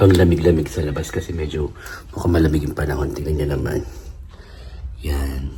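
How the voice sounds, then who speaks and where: A man speaks at a fairly quick clip in a very deep, low voice with ordinary pitch variation, over noticeable background noise and audible room echo. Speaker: vlogger and comedian. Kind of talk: travel vlog. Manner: animated.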